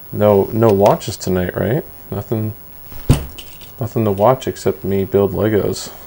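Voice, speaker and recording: Fairly slow speech with long, frequent pauses, over noticeable background noise. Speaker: livestreamer. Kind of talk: casual chat. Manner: soft-spoken. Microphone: too quiet, gain raised.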